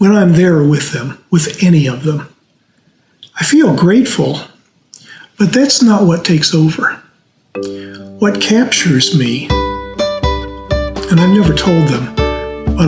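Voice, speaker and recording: A man's fairly high voice with very wide pitch swings, a very slow pace and long, frequent pauses, over music in the background. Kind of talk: casual talk to camera. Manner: heartfelt.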